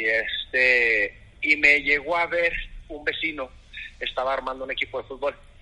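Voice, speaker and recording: A man's fairly high voice, an ordinary speaking voice, comes at a moderate pace, its intonation fairly even. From northern Mexico, Ciudad Juárez. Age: 30s. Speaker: goalkeeper coach. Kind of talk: interview.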